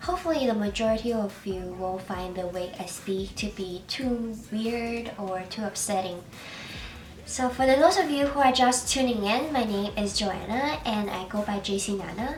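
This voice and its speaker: With music in the background and audible room echo, a woman speaks with lively intonation. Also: fairly high pitch for a woman, moderate pace. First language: Chinese. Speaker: beauty vlogger. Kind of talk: makeup tutorial. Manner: casual, with fillers.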